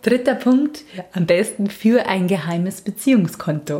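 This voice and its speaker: Someone speaks in a Bavarian accent with ordinary pitch variation, with noticeable background noise behind. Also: woman. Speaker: relationship podcast host. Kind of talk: casual chat.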